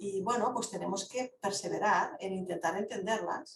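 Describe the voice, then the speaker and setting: A somewhat breathy woman's voice at medium pitch, with ordinary pitch variation and a moderate pace. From Catalonia, Lleida. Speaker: philosophy speaker. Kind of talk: online Q&A discussion. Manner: halting.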